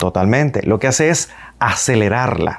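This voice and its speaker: A man's medium pitch in very wide swings, at a fairly slow pace. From Cuba. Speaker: radio and television announcer. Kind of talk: public speaking lesson to camera.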